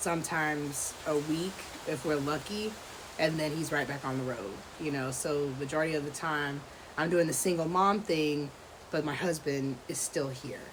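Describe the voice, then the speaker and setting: A quiet woman's voice, very deep and low, with ordinary pitch variation and a moderate pace, amid audible room echo and noticeable background noise. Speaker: podcast host, homeschooling mom. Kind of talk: casual freestyle monologue. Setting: outdoors at home. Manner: kept down, quieter.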